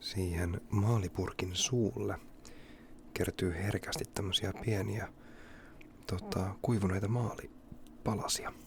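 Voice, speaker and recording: A man's fairly low voice at a very slow pace, with vocal fry, long, frequent pauses and ordinary pitch variation. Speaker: ASMR creator. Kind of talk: ASMR whispering and casual talk. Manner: relaxed, unhurried.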